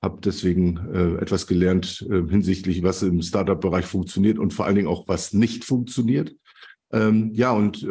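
This man has a very deep, low pitch and a dark, mellow tone, with ordinary pitch variation. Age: 50s. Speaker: logistics expert and network founder. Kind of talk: interview.

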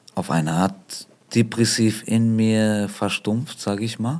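His intonation stays fairly even. The man's pitch is fairly low. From Germany. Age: 30s. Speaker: rapper and singer. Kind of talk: interview.

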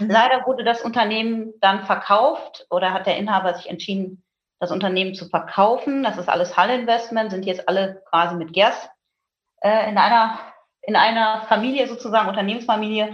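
With a normal speaking voice, a woman talks at a fairly quick pace in a fairly high pitch with ordinary pitch variation. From Germany, Münsterland. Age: 40s. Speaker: hearing aid company marketing manager. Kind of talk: interview.

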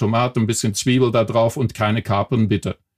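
A man with a medium-pitched voice delivers his words at a fairly quick pace. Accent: Belgian. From Belgium. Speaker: telephony software company employee. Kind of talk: podcast interview.

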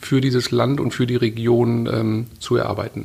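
Somewhat breathy, a man talks with fairly even intonation. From Ruhr area, Germany (Witten). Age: 40s. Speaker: media executive. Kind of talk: interview.

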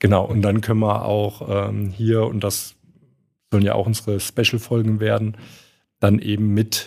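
In a Saarland accent, a man with a fairly low pitch talks at a moderate pace on a very clean recording with a silent background. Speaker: fund industry professional, podcast co-host. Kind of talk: casual chat.

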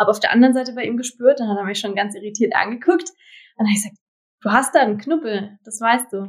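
A woman talks at a very fast clip, her loudness swinging widely from moment to moment. Her voice is somewhat breathy, and her pitch moves in an ordinary way. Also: fairly high pitch for a woman. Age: 20s. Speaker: partner of cancer patient. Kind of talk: interview.

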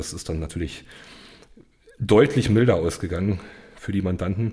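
A man's unremarkable speaking voice, fairly low in pitch, with ordinary pitch variation and a fairly quick pace. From eastern Germany, Cottbus (Brandenburg). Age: 30s. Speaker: criminal defence lawyer. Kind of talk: interview conversation.

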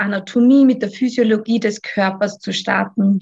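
A fairly high-pitched woman's voice with an Austrian accent, flat and monotone in intonation. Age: 30s. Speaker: physiotherapist and yoga teacher. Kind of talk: podcast interview. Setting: remote call.

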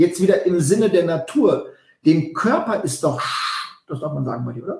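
This man's intonation is lively. His voice is pitched high. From Westphalia. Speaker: nutrition consultant and speaker. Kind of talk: casual chat. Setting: video recording with live viewers.

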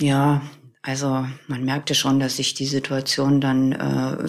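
Monotone, flat intonation against noticeable background noise. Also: woman. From northern Germany, near Celle. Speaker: widow telling her grief story. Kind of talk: personal testimony interview. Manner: halting, many fillers.

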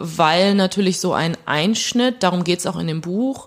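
A woman's medium-pitched voice with lively intonation at a fairly slow pace, amid noticeable background noise. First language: Plautdietsch (speaking German). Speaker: novelist. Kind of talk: interview.

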